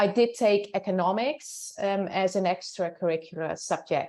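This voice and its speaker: A woman's medium-pitched voice with a Dutch accent against a quiet background. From Netherlands. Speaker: professor. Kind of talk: interview. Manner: hesitant, with fillers.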